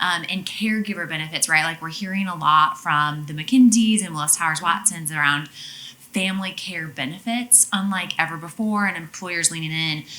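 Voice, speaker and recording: A woman talks at a moderate pace with hardly any pauses, her pitch fairly low. Noticeable background noise runs behind her. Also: ordinary pitch variation. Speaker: audience member asking a question. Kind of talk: audience question.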